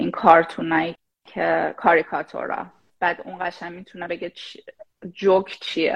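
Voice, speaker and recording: Very slow and marked by long, frequent pauses, a woman's speech swings widely in loudness. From Iran, Shahrud (Semnan province). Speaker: AI product manager. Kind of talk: casual chat. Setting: live stream.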